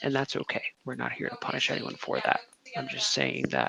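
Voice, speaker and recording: Quiet and close, a man's voice comes through dry with no echo. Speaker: guild leader. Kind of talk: meeting address to group. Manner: quiet, low volume.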